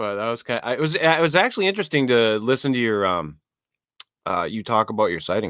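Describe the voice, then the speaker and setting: Very fast, medium-pitched male speech with an American accent and very wide pitch swings. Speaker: podcast host. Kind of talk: casual chat. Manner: halting, repeats words.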